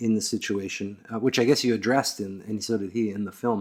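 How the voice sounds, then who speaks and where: In an American accent, the man delivers his words at a fairly quick pace. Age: 40s. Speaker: podcast host. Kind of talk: interview conversation.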